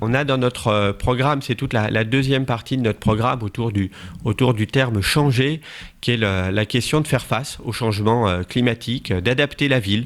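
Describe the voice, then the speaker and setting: Medium-pitched male speech with ordinary variation in pitch. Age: 40s. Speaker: local election candidate. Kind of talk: campaign interview statement. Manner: hesitant, many fillers.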